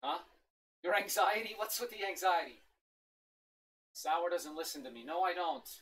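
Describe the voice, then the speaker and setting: A woman shouts at a moderate pace with lively intonation. Her loudness swings widely, and she leaves long, frequent pauses. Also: fairly low pitch for a woman. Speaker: gaming livestreamer. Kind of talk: livestream unboxing chat. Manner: animated; loud, shouting.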